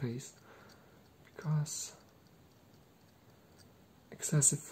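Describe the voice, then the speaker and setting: A soft-spoken man, somewhat breathy, talks in a dark, mellow tone with ordinary pitch variation over light background noise. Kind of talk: soft-spoken explanatory talk while role-playing. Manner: soft-spoken, slow ASMR murmur. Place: home room. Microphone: webcam.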